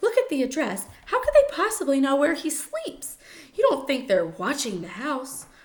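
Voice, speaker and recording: Using a put-on character voice, a woman speaks at a moderate pace in a high, shaky pitch with very wide pitch swings. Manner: quivering, frightened.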